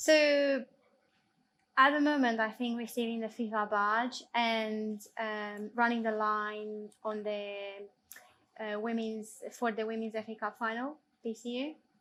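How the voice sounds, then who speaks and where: At a fairly slow pace, a woman with a non-native accent speaks in a fairly high pitch with fairly even intonation. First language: not English. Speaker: football assistant referee. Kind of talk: Q&A interview.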